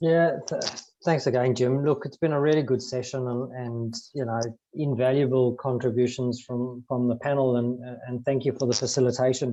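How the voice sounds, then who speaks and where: Speaking with a South African accent, a man keeps a medium pitch and a moderate pace in a monotone, flat delivery. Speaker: business advisory partner. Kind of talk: panel discussion.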